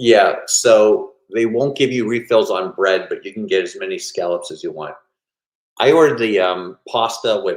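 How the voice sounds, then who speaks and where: This is a man's voice. He keeps a moderate pace. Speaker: cruise vlogger. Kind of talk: live stream chat. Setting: home live stream. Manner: loud.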